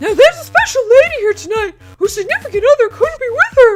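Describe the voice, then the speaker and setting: The speaker uses a put-on character voice. The pace is very fast. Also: man, extremely high pitch for a man. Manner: announcer-style, upbeat.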